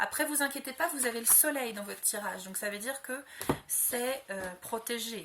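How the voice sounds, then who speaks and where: A woman talks with a high pitch as noticeable background noise plays behind her. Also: ordinary pitch variation, moderate pace. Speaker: tarot card reader. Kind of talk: astrology reading video. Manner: hesitant, many fillers.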